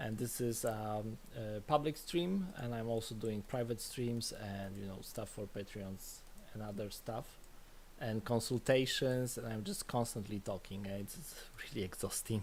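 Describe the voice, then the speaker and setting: Mumbling at a fairly slow pace, a man talks in a medium pitch with ordinary pitch variation. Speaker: game developer streaming. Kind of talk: live coding stream. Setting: live stream.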